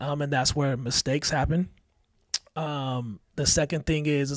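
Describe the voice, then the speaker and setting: An unremarkable speaking voice from a man, fairly high in pitch, at a moderate pace with fairly even intonation and a dry, close sound with no echo. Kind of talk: casual chat.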